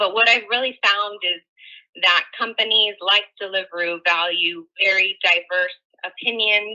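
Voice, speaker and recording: Here is a woman with an ordinary speaking voice at medium pitch. Her intonation stays fairly even and her pace is fairly slow. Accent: American. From US, San Francisco, California. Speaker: tech company engineer, guest speaker. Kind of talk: online presentation. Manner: casual, filler-heavy.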